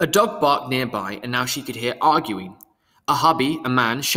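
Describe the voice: The speaker does plain reading aloud. Pitch varies in an ordinary way over a quiet background.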